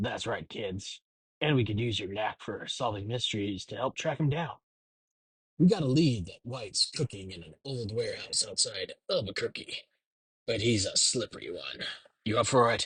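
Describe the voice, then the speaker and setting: At a moderate pace, a man uses a put-on character voice at a medium pitch. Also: dry, close sound with no echo. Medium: read story. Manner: smug, gruff.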